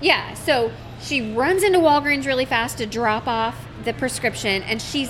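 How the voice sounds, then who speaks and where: An animated, fairly high-pitched woman's voice at a moderate pace, with lively intonation and noticeable background noise. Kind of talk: casual chat among friends. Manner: loud, animated, big gestures.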